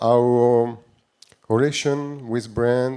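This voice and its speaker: His tone is dark and mellow, at a medium pitch, with a French accent. The man speaks very slowly. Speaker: tech company CEO. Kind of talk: panel discussion. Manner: halting, many fillers.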